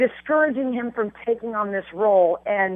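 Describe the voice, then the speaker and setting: A woman speaks at a fairly high pitch with ordinary pitch variation. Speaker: entertainment reporter. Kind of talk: casual chat. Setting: at the host's house. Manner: fast; animated.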